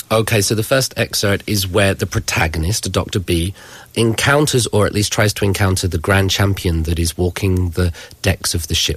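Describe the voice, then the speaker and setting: A man with an English accent, fairly low in pitch with ordinary pitch variation, somewhat breathy, at a moderate pace and very even loudness. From England. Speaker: university professor. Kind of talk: book discussion on radio.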